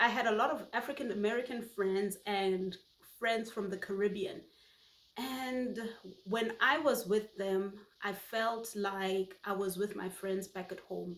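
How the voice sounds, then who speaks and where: Woman with a Botswana accent at a fairly slow pace and with fairly even intonation. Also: medium pitch for a woman. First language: Setswana. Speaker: YouTuber. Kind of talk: personal vlog monologue.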